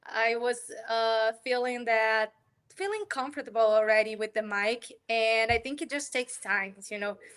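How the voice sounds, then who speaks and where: In a Portuguese accent, a woman speaks at a moderate pace, her pitch fairly high and her intonation fairly even. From Brazil. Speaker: developer advocate. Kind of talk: interview.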